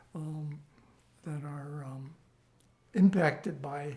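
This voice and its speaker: Dark and mellow in tone, a man speaks somewhat breathily with an American accent. His pace is very slow and his pitch variation ordinary. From US West Coast, Los Angeles. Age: 90s. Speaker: oral history interviewee. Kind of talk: life story interview. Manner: halting, many fillers.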